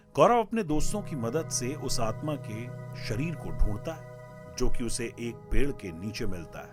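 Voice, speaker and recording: A man speaks with big swings in loudness while music plays in the background. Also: medium pitch for a man, lively intonation. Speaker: radio jockey and storyteller. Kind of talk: live musical storytelling, horror story narration. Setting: studio with live keyboard music.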